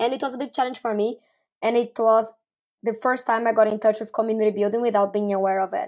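Very fast speech in a Portuguese accent with fairly even intonation. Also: woman, fairly high pitch for a woman. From Brazil. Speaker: startup community builder. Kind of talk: interview.

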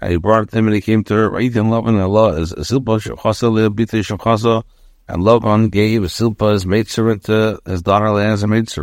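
An unremarkable speaking voice from a man, fairly low in pitch with fairly even intonation at a fairly quick pace, on a very clean recording with a silent background. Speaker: rabbi teaching Torah. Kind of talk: lecture.

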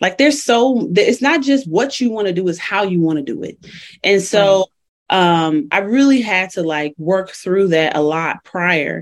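Speaking fairly slowly with an American accent, a woman at medium pitch lets her voice swing very widely in pitch. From Chicago. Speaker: entrepreneur. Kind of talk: interview.

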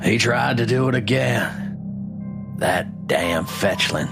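A put-on character voice moves at a very slow pace over loud music in the background. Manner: angry, disgusted.

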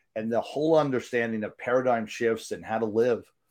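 An unremarkable speaking voice from a man, medium pitch, fairly even intonation, over a quiet background. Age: 50s. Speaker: podcast host and business coach. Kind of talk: casual interview. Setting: live online broadcast.

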